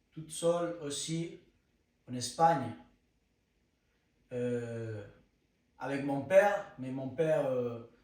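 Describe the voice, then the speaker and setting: A man speaks very slowly in a Spanish accent, with audible room echo. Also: long, frequent pauses, big swings in loudness. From Spain. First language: Spanish (speaking French). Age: 20s. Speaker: content creator. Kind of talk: personal testimony. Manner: halting, searching for words.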